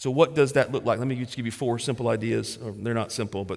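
A man with an unremarkable speaking voice talks at a fairly quick pace and medium pitch with fairly even intonation. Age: 40s. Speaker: pastor. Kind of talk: sermon. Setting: church.

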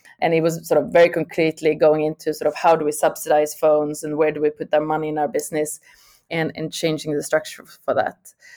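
Very fast and in a Swedish accent, a woman speaks with a very deep, low pitch, a dark, mellow tone and monotone, flat intonation. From Sweden. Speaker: tech executive. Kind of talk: interview. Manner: halting.

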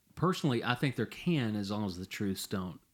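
With an ordinary speaking voice, a man talks at a moderate pace, his fairly low pitch carried by lively intonation. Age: 50s. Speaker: podcast co-host. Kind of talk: casual discussion. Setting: home shed studio.

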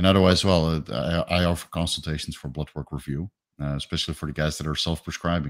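Very fast and with a Dutch accent, a man with a very deep, low pitch and vocal fry keeps a fairly even intonation in a very clean recording over a silent background. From Netherlands. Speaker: retired bodybuilding coach and fitness YouTuber. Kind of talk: casual interview.

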